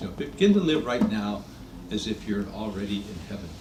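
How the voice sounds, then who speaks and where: Amid noticeable background noise and audible room echo, a man talks at a moderate pace with very wide pitch swings. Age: 80s+. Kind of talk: talk to a small gathering. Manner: halting.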